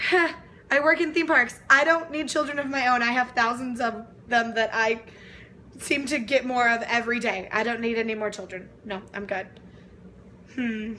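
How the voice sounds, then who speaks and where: Loud and with an animated tone, a woman with an American accent speaks at a high pitch and moderate pace, with ordinary pitch variation, over noticeable background noise. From Texas (Lufkin, East Texas). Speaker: vlogger. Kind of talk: casual vlog Q&A.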